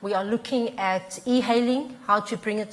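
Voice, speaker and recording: A fairly high-pitched woman at a moderate pace with ordinary pitch variation, over noticeable background noise. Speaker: transport consultant. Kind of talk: panel discussion.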